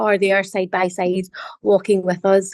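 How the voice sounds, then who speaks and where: A woman with a Scottish accent speaks at a moderate pace in a dry, close sound with no echo. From Scotland. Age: young. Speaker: member of parliament. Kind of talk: interview. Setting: video call.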